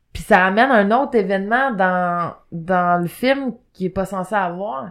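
A woman speaks at a fairly slow pace in a Quebec accent, with ordinary pitch variation. The background is quiet. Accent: Québécois French. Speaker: podcast co-host. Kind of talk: casual chat. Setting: studio.

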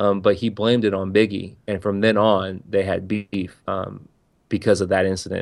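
A man talks at a moderate pace with a fairly low pitch. It is an ordinary speaking voice. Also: quiet background. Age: 30s. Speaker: podcaster. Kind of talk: casual chat.

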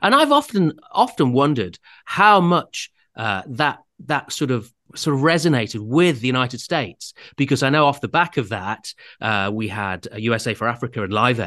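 A man with an English accent, medium in pitch and bright and sharp in tone, with lively intonation at a moderate pace against a quiet background. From England. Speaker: author and radio comedy writer. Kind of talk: interview.

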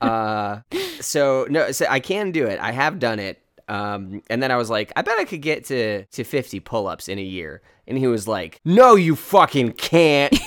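Recorded very cleanly against a silent background, a man speaks in a medium pitch at a moderate pace. His voice moves through very wide pitch swings. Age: 20s. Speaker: podcast co-host. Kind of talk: casual chat.

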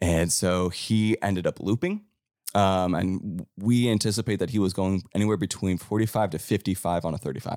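A very clean recording with a silent background and a dry, close sound with no echo. The man's very deep, low voice moves at a moderate pace with fairly even intonation. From Cleveland, Ohio. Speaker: musician. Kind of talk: casual chat. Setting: studio.

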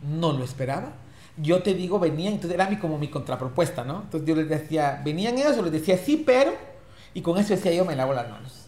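A man with a fairly high pitch talks at a very fast pace, his intonation lively. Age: 40s. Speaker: politician and HIV rights activist. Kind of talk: interview.

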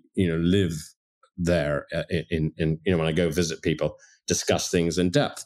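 In a very clean recording with a silent background, a man with a slight Canadian accent speaks at a moderate pace and a very deep, low pitch. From Toronto, Canada. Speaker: wine merchant. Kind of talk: casual interview chat.

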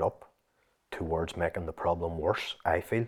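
A man's very deep, low voice in a Northern Irish accent at a moderate pace, on a very clean recording with a silent background. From Northern Ireland. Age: 40s. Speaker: fitness coach. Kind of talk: interview.

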